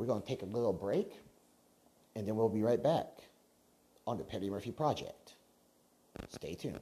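Man with a dark, mellow tone, medium pitch and ordinary pitch variation at a fairly quick pace, with long, frequent pauses. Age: 30s. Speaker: podcast host. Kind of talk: casual monologue.

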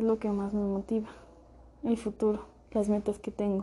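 Somewhat breathy, a woman speaks at a medium pitch with a dark, mellow tone, monotone, flat intonation and a fairly slow pace. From central Mexico. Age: 20s. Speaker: law student. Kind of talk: recorded self-presentation for class. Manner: halting, with fillers and repetitions.

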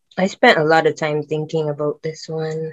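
The speaker is a woman with a Barbadian accent. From Barbados. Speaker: film student. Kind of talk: casual faith conversation.

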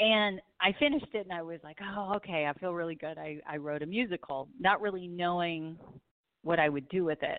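An ordinary speaking voice from a woman with an American accent, fairly low pitch, ordinary pitch variation, big swings in loudness, fairly quick pace. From Southern California. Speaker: singer and author. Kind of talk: interview.

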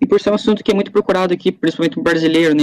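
The recording is dry and close with no echo, carrying a man's high-pitched voice with ordinary pitch variation. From Rio Grande do Sul, Brazil. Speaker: YouTuber. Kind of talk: casual interview chat.

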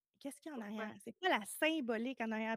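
This woman speaks with a Quebec accent, and the sound is dry and close with no echo. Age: 30s. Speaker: emotional decoding coach. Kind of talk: casual interview.

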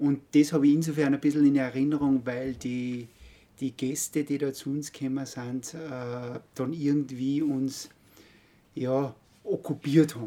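At a fairly slow pace, a man with a fairly high pitch speaks in a dark, mellow tone with monotone, flat intonation. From Austria, Salzburg Pongau (Altenmarkt). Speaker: architect. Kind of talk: interview. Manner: halting, many fillers.

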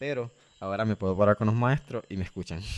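A man talks at a fairly quick pace in a fairly low pitch, with ordinary pitch variation and an unremarkable speaking voice. The recording is very clean, with a silent background. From Nicaragua, Corinto. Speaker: education program co-founder. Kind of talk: interview.

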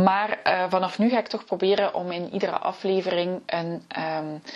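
Speaking with ordinary pitch variation, a woman keeps a medium pitch and a fairly slow pace. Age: 40s. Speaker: podcast host, personal historian. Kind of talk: solo podcast talk. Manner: hesitant, many filler sounds.

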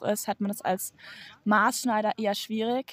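A woman's medium-pitched voice, dry and close with no echo, in a very clean recording over a silent background. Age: 20s. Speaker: tailor apprentice. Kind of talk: casual interview.

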